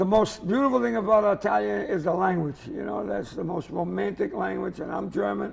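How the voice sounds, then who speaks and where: Over noticeable background noise, a man with a Boston accent talks with very wide pitch swings. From Lynn, Massachusetts. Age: 70s. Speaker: comedian. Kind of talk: comedic interview chat. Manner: animated.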